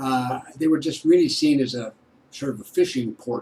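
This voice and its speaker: Behind the man there is noticeable background noise. His pace is moderate. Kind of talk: casual talk to camera.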